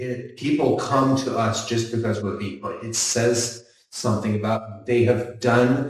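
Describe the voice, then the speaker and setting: At a very slow pace, a man speaks in a somewhat breathy voice with audible room echo. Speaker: builder running a B Corp construction business. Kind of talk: panel discussion. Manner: animated.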